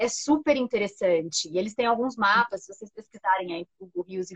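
A somewhat breathy woman's voice with lively intonation, in a dry, close sound with no echo. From interior of São Paulo state (Franca). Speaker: journalist. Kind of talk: casual chat.

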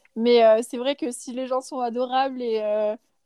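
Her fairly high voice has a dark, mellow tone and fairly even intonation, and she speaks fairly slowly in a dry, close recording with no echo. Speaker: student living abroad. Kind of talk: casual interview.

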